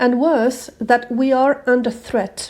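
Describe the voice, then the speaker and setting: Someone with a non-native accent speaks at a fairly slow pace in a dark, mellow tone. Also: woman. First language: not English. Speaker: manifesting coach. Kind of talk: self-help talk to camera.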